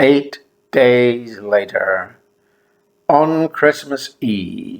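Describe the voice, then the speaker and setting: In an Irish accent, a man with a fairly high pitch speaks at a very slow pace, his intonation lively and broken by long, frequent pauses. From Ireland. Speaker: memoir storyteller, former teacher. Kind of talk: memoir narration.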